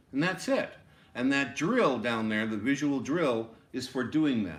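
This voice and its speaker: With room echo audible around him, the man talks fairly slowly. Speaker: music teacher. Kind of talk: lecture. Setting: classroom video.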